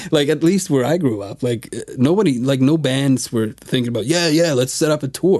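A man's fairly high, dark, mellow voice at a fairly quick pace, with ordinary pitch variation and hardly any pauses. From Sweden. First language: Swedish. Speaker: musician. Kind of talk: casual chat. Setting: studio.

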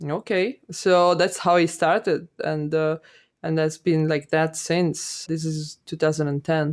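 A woman with an Italian accent speaks at a very slow pace with a very deep, low pitch and fairly even intonation, in a very clean recording with a silent background. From Italy, Milan. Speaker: animation director. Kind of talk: interview. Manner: halting.

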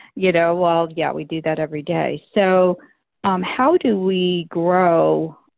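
A woman's fairly low voice at a very slow pace, the intonation fairly even. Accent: American. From Florida. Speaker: podcast host. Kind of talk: casual interview chat. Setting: phone call.

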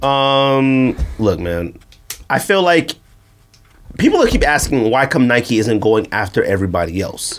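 Speech with an animated tone and very wide pitch swings comes at a fairly slow pace with long, frequent pauses over noticeable background noise. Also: man, medium pitch for a man. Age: 30s. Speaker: sneaker podcast co-host. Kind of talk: casual chat.

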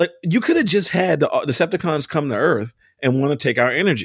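A man with an American accent speaks at a moderate pace. The recording is very clean, with a silent background and a dry, close sound with no echo. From US, Baltimore. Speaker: comic book and TV writer. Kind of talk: casual interview.

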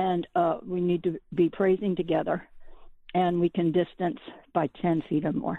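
At a moderate pace, a woman with a fairly low pitch speaks in an ordinary speaking voice, her pitch varying in an ordinary way. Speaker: caller. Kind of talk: prayer requests and praise report. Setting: phone call. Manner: chatty, with fillers.

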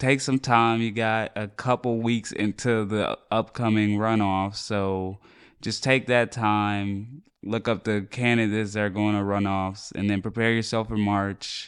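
Against a quiet background, a man with a fairly low pitch speaks in a flat monotone at a fairly slow pace. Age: 20s. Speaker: podcast co-host. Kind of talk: casual chat.

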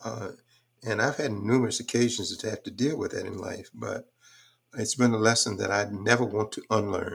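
A man with an American accent, somewhat breathy, at a medium pitch and moderate pace with fairly even intonation. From US South, Texas. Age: 80s.

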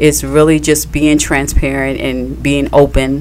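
Noticeable background noise sits behind the recording. A woman talks at a rather unhurried pace. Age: 30s. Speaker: podcast co-host, wife. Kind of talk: casual radio interview.

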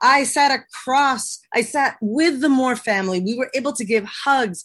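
A woman with an American accent speaks at a fairly slow pace in a high pitch with ordinary pitch variation. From Texas. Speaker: business leader. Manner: enthusiastic, energetic.

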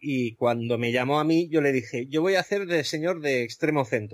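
The man has an ordinary speaking voice. He moves at a moderate pace with ordinary pitch variation. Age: 40s. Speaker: podcaster guest. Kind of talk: casual chat.

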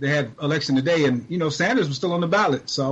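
Somewhat breathy speech at a very fast pace, with ordinary pitch variation. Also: man. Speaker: guest activist, media campaigner. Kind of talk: interview about current events.

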